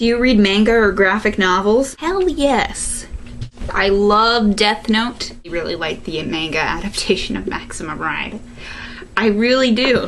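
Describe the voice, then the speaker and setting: A woman with a Chicago accent speaks fairly slowly at a fairly high pitch with lively intonation, amid noticeable background noise and audible room echo. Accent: Chicago accent, self-described as weird. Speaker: video blogger. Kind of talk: Q&A vlog. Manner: animated.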